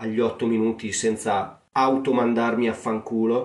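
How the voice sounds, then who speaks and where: Recorded with audible room echo, a man speaks with a Romagnolo accent. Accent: Romagnolo Italian. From Romagna, Italy. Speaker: podcaster. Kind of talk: comic monologue. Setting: attic room at home. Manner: casual.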